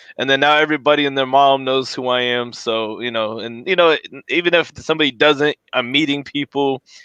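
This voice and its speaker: A man with a normal speaking voice and an American accent, fairly high in pitch, fairly quick in pace, with fairly even intonation. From Florida. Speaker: podcast host. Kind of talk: casual interview chat. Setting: garage.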